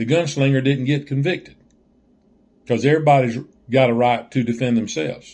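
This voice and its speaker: A man with a Southern US accent, fairly quick pace and long, frequent pauses. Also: medium pitch for a man, ordinary pitch variation. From Southern US (Georgia). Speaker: joke teller. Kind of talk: casual talk to camera.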